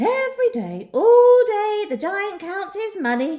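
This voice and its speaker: A woman puts on a squeaky character voice at an extremely high pitch, cackling. She speaks at a fairly slow pace. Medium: read story.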